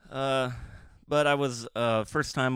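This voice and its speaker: An American accent, recorded very cleanly against total silence. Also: man. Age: 30s. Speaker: podcaster and blogger. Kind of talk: casual monologue. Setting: garage. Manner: rambling, halting with fillers.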